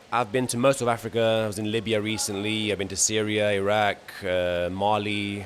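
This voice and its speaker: Intonation is monotone and flat at a fairly quick pace. Noticeable background noise sits underneath. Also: man, fairly low pitch for a man. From Portugal. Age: 20s. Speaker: traveller and content creator. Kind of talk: interview. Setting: travel festival with background noise.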